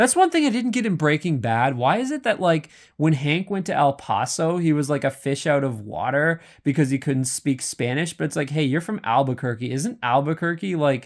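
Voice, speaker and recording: Lively intonation from a man with a Canadian accent, fairly high pitch and a moderate pace, in a very clean recording with a silent background. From Canada. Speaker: YouTuber. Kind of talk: casual commentary monologue. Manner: casual, hesitant with many fillers.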